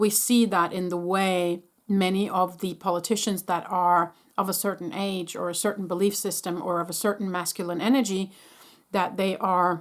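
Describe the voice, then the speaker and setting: With a non-native accent, a woman speaks at a medium pitch and a moderate pace in a monotone, flat intonation. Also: very clean recording, silent background. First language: not English. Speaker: spiritual channeler. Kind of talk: energy update talk to camera. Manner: halting, with restarts.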